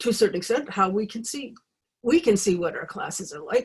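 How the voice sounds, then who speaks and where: Somewhat breathy, a woman's voice is heard. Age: 60s. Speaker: alternative healing teacher. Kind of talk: online class talk. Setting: video call. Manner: halting.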